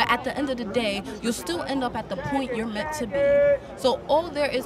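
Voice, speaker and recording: A woman speaks at a moderate pace, with crowd noise behind her. The sound is dry, with no echo. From Haiti. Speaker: protester; interviewee. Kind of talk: street interview. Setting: outdoors at a march. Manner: animated. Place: street. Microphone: handheld.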